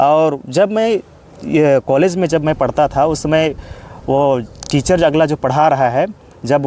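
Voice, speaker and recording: Noticeable background noise surrounds a voice with lively intonation and a Jharkhand accent, the sound dry and close with no echo. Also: man. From Jharkhand, Gumla district (India). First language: Kurukh (speaking Hindi). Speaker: postgraduate Sanskrit student. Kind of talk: interview. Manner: hesitant, with frequent fillers.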